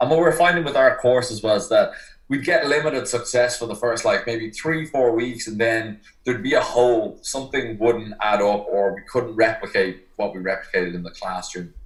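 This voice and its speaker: Speaking at a fairly quick pace with lively intonation, a man with an Irish accent has a somewhat breathy voice at a medium pitch. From Ireland. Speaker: personal trainer. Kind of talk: podcast interview.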